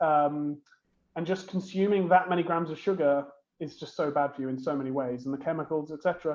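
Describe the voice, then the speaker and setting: Fairly quick and fairly high-pitched, a man with a British accent keeps his intonation fairly even. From UK. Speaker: beverage company co-founder and CEO. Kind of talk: interview.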